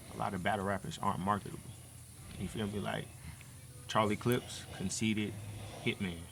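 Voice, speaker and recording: A man's bright, sharp tone sits at a fairly low pitch, his intonation fairly even. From US South. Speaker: battle rapper. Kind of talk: podcast interview. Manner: casual, conversational.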